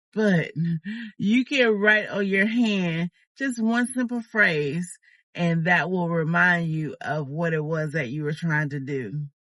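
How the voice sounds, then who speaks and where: Speaking at a very slow pace, a woman with a fairly low voice uses lively intonation. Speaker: YouTuber. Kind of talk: casual vlog talk. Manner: slow, sometimes fumbling for words.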